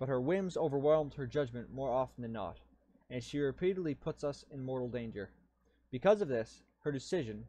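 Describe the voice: Lively intonation over plain reading aloud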